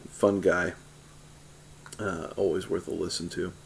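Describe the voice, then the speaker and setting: This man has a fairly low voice. He talks at a fairly slow pace. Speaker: pipe-smoking video creator. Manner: hesitant, many fillers.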